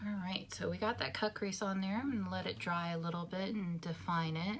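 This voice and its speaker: A woman with an American accent, fairly low in pitch with ordinary pitch variation, fairly quick and very even in loudness, over noticeable background noise. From New Jersey. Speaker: beauty vlogger. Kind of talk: makeup tutorial.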